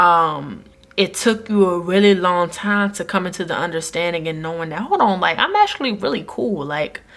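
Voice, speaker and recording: This woman has an unremarkable speaking voice, fairly low in pitch, moving at a moderate pace. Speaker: tarot reader. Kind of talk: tarot reading to camera. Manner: casual, warm.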